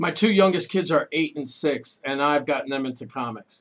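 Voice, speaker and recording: A man speaks in a normal speaking voice at a moderate pace. His pitch is fairly high, with ordinary pitch variation. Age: 40s. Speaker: radio host. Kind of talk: radio interview. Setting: studio.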